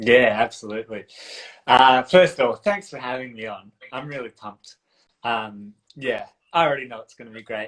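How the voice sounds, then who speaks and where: A man with an Australian accent speaks at a medium pitch, his loudness swinging widely. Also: ordinary pitch variation, moderate pace. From country Australia (south coast NSW). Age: 30s. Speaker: dance and relationship coach. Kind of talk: casual interview chat.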